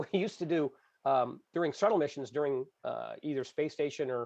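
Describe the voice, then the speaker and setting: A man with a fairly high pitch talks over a quiet background. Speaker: retired space agency broadcast producer. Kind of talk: casual chat on a livestream.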